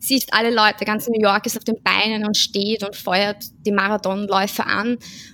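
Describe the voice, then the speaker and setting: In a dry, close sound with no echo, a woman with a plain, everyday voice speaks at a moderate pace with fairly even intonation. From Austria, Vienna. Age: 30s. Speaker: social pedagogue and amateur runner. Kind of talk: casual chat.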